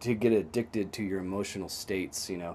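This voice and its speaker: A man speaks in a fairly low pitch with a dark, mellow tone. His pitch variation is ordinary. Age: 30s. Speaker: singer-songwriter. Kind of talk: casual chat. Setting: video call.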